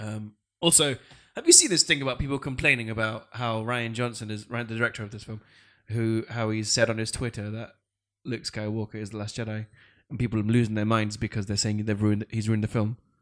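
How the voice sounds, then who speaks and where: A man with a British accent speaks at a very fast pace in a medium pitch, with fairly even intonation, on a very clean recording with a silent background. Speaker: podcast host. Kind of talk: casual chat.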